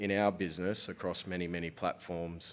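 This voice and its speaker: A man with a New Zealand accent speaks in a very deep, low pitch and a monotone, flat intonation. The recording is very clean, with a silent background. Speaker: business executive, conference presenter. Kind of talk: conference presentation.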